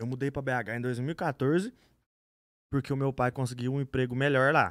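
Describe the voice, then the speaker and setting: A man at a fairly quick pace with fairly even intonation, dry sound with no echo and a quiet background. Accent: rural Minas Gerais. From Minas Gerais, Brazil. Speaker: podcast guest. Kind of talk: interview answer. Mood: relaxed, conversational. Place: studio. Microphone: studio mic.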